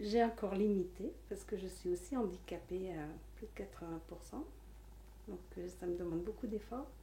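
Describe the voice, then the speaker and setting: In audible room echo, a woman speaks at a moderate pace with long, frequent pauses. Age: 60s. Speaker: life coach. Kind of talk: interview monologue.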